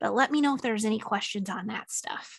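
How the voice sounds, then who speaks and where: At a fairly quick pace, a woman talks in a fairly high voice with ordinary pitch variation. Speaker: software marketing lead presenting to a writers group. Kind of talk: product presentation with Q&A. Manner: fast.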